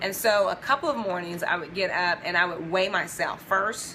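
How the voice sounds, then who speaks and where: Fairly even intonation from a woman, with clearly audible noise in the background. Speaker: video blogger sharing customer experience. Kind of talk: casual talk to camera answering questions. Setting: at home. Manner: soft-spoken, talking low.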